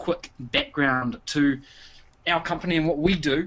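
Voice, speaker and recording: A man with a New Zealand accent, high pitch, ordinary pitch variation and a moderate pace. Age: 30s. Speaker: internet marketer. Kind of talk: webinar presentation. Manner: frequent fillers, hesitant repetitions.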